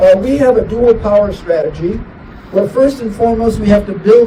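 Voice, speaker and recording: A moderate pace and an American accent, with noticeable background noise. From Chicago South Side. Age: 70s. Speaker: community activist. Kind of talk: press conference speech.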